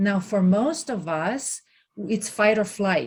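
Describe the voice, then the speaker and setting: Somewhat breathy, a woman speaks at a very slow pace with a medium pitch. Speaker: podcast host. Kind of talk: interview questions.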